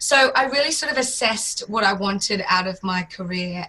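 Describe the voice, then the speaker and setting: Noticeable background noise beneath speech of ordinary pitch variation. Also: woman. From Australia. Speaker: fitness business founder. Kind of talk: interview.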